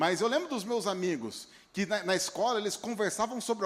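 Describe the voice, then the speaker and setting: A man in a São Paulo interior accent talks at a high pitch. His pace is fairly quick and his pitch variation ordinary. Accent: caipira accent from interior São Paulo. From interior of São Paulo state, Brazil (Piracicaba). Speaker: pastor. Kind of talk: sermon. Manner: halting, repeats words.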